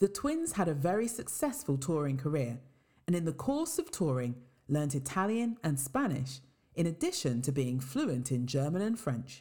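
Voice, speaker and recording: A woman's very deep, low voice with a West Midlands accent, somewhat breathy and dark and mellow in tone, at a moderate pace with very even loudness and very wide pitch swings. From England, Worcester. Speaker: podcast narrator. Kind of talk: scripted narration.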